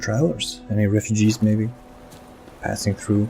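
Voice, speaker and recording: Over music in the background, a man talks at a moderate pace with a fairly low pitch. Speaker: gaming commentator. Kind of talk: let's play commentary. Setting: home recording. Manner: soft-spoken, sometimes whispered.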